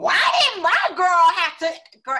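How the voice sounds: Someone does a put-on character voice at an extremely high pitch.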